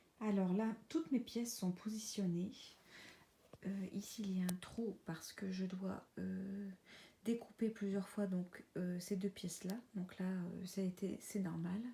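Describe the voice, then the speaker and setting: With a dark, mellow tone and a medium pitch, a woman speaks at a very slow pace, somewhat breathy, with fairly even intonation. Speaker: sewing vlogger. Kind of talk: casual vlog narration. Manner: hesitant, many filler sounds.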